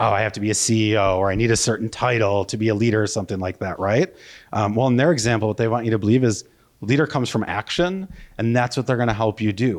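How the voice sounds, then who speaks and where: A man with a Wisconsin accent talks at a very fast pace against a quiet background. His pitch is medium with ordinary variation. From US Midwest, Wisconsin. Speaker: marketing consultant, conference speaker. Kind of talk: conference keynote. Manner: casual, with many fillers and restarts.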